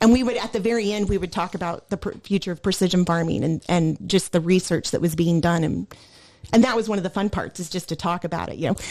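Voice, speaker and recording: Very fast speech from a woman at medium pitch, with ordinary pitch variation. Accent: Midwestern American. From US Midwest, Illinois. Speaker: former farm equipment technology trainer. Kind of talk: casual chat. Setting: podcast recording.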